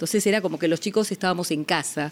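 A woman with an unremarkable speaking voice talks at a fairly low pitch with lively intonation. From Argentina, Buenos Aires (Villa Crespo). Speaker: family lawyer. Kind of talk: interview. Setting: home.

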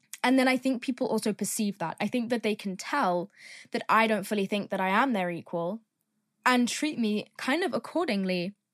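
On a very clean recording with a silent background, a woman with an English accent speaks at a moderate pace, her fairly high voice lively in intonation. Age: 20s. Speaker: podcast host. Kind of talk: casual monologue. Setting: in a car.

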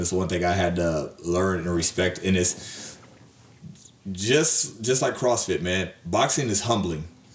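A man's very deep, low voice at a moderate pace, with ordinary pitch variation and noticeable background noise. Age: 30s. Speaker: boxing podcast co-host. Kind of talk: casual chat. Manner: animated.

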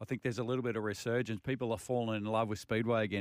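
Delivered in a monotone, flat intonation, a man's medium-pitched voice comes through with an Australian accent. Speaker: motorsport radio co-host. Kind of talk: radio show chat. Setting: radio studio.

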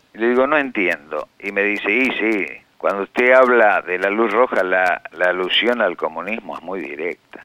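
This man has a fairly low pitch and a bright, sharp tone, with ordinary pitch variation. He talks at a moderate pace in a dry, close sound with no echo. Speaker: writer. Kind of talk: interview testimony. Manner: halting.

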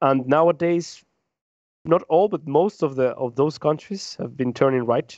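A man with a Spanish accent talks at a moderate pace. His pitch is fairly high for a man, with ordinary pitch variation. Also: quiet background. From Peru. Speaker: podcast co-host. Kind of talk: casual discussion. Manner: halting, frequent repetitions.

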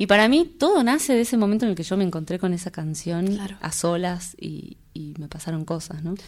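Fairly low female voice at a moderate pace in a very clean recording with a silent background. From Salta, northwest Argentina. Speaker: folk singer. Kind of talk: interview. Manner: halting, with frequent repetitions.

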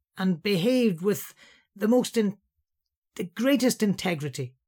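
A man in a Scouse accent, high-pitched with very wide pitch swings, at a fairly slow pace, on a very clean recording with a silent background. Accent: Scouse (Liverpool English). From Liverpool, England. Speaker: Bible teacher. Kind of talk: Bible teaching talk.

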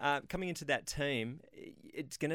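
Speaking with an Australian accent at a moderate pace, a man is heard in a very clean recording with a silent background. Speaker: former racing driver and co-host. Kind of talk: casual chat, expert analysis. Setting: radio studio.

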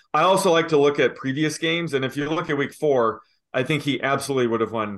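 This is a normal speaking voice at a fairly quick pace with ordinary pitch variation. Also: man. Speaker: sports betting analyst. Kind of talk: analytical explanation.

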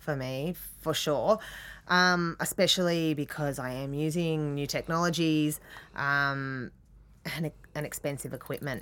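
A woman's very deep, low voice with an Australian accent, a fairly slow pace and fairly even intonation, on a very clean recording with a silent background. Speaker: artist. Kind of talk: interview. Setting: studio. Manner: halting.

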